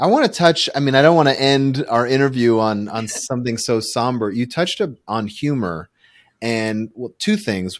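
A man with a plain, everyday voice talks at a moderate pace, his pitch varying in an ordinary way, on a very clean recording with a silent background. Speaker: relationship podcast host. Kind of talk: interview, casual conversation. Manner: chatty, informal.

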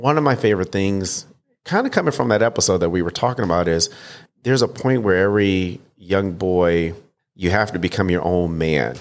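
In a very clean recording with a silent background, a man with an American accent talks at a fairly quick pace in a very deep, low pitch, with ordinary pitch variation and very even loudness. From Detroit, Michigan. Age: 30s. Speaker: stand-up comedian. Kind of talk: casual interview.

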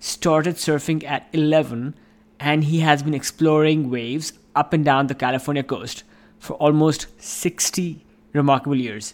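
A man has a plain, everyday voice with a fairly high pitch. He speaks at a fairly slow pace with ordinary pitch variation. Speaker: podcast host. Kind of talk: scripted intro and outro.

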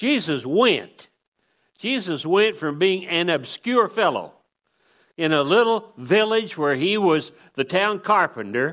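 Talking at a very slow pace, a man uses a high pitch and lively intonation on a very clean recording with a silent background. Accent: American. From Oklahoma. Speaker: guest preacher, former missionary. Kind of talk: sermon.

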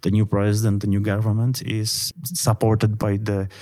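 A man with a Polish accent speaks at a moderate pace in a fairly low voice. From Poland. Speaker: international relations analyst and journal editor. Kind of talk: interview.

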